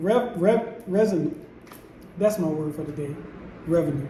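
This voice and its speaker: A man with an American accent, audible room echo and noticeable background noise. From United States. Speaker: vlogger. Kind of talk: casual vlog monologue. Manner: stumbling, repeats words.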